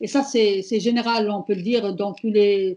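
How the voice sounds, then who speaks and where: Her voice is dark and mellow, somewhat breathy and fairly high, as the woman talks at a fairly slow pace. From Morocco. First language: Amazigh (Berber) (speaking French). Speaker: feminist activist. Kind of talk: prepared speech at online panel. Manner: hesitant, many fillers.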